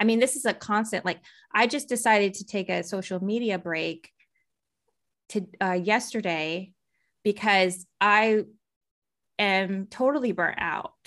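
In a very clean recording with a silent background, a woman with an American accent speaks at a fairly slow pace in a medium pitch, with ordinary pitch variation and long, frequent pauses. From Texas. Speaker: artist and musician. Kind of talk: interview conversation.

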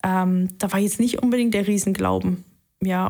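The voice has a dark, mellow tone. Its intonation is flat and monotone. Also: woman. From Saxony, eastern Germany (Leipzig). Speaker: airline and private jet pilot. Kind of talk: interview testimony.

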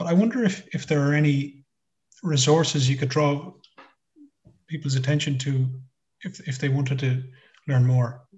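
With an Irish accent, a somewhat breathy man speaks in a fairly high pitch, leaving long, frequent pauses. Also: ordinary pitch variation, moderate pace. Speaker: radio co-host. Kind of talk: news discussion; interview. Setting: remote call.

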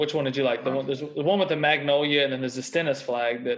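Speaking very fast with a Southern US accent, a man uses a fairly high pitch and ordinary pitch variation. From Mississippi. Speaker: podcast co-host. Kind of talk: casual chat.

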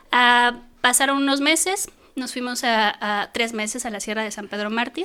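Fairly slow speech from a woman with a bright, sharp tone and ordinary pitch variation. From Mexico City. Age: 40s. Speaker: mountaineer. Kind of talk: interview.

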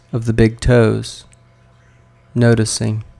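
A calm, soothing tone at a fairly slow pace, with fairly even intonation, in a very clean recording with a silent background. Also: man. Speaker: therapist and mindfulness teacher. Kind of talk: guided meditation; solo talk on podcast. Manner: slow, calm, soothing, gently paced with pauses.

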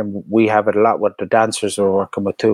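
At a moderate pace, a man with a medium pitch talks in a Cork accent, the sound dry and close with no echo. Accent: Cork Irish. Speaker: DJ. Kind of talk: casual chat.

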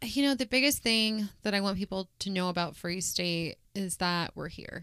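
With a Midwestern American accent, a woman speaks at a moderate pace with hardly any pauses, her medium pitch showing ordinary variation. Her tone is bright and sharp, and the recording is very clean with a silent background. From Kansas, Wichita. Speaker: clinic manager. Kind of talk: casual interview.

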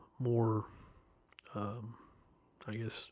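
A man with a Tennessee accent, medium pitch and monotone, flat intonation. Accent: Southern US (Tennessee). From US South, Chattanooga, Tennessee. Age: 30s. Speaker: guest sharing life story. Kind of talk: testimony. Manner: hesitant, many fillers.

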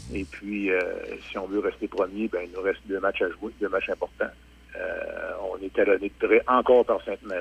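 A man pauses long and often while noticeable background noise carries on behind him. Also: dry, close sound with no echo. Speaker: local hockey team representative. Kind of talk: interview.

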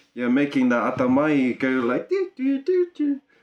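A man speaks at a very slow pace. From New Zealand, Auckland. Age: 30s. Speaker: musician and business owner. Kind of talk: casual chat.

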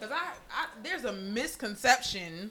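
A woman with a fairly high pitch speaks in an animated tone, her pitch swinging very widely. Noticeable background noise runs behind her. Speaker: podcast host. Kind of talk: casual banter. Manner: animated, joking.

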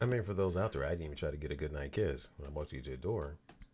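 A man's very fast, very deep and low voice with vocal fry. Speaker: podcast host, marriage advice. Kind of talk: casual advice talk.

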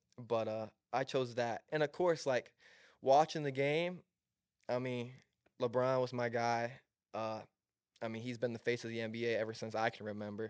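At a moderate pace, a man with an American accent uses an ordinary speaking voice at a medium pitch with fairly even intonation. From Southwest Michigan. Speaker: college basketball player. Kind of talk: casual chat.

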